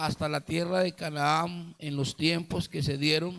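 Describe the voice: There is vocal fry in this man's voice as he speaks at a fairly slow pace.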